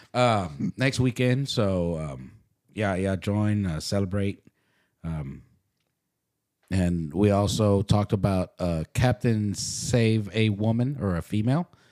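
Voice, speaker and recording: This man has an American accent and a dark, mellow tone at a fairly low pitch. He speaks very slowly, with lively intonation. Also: dry, close sound with no echo. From Dallas, Texas (Oak Cliff). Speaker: podcast co-host. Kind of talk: casual chat. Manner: halting.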